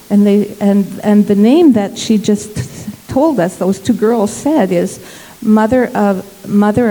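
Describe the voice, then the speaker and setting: A woman's medium-pitched voice with ordinary pitch variation, over noticeable background noise. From Congo. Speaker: missionary. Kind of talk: interview testimony in church service.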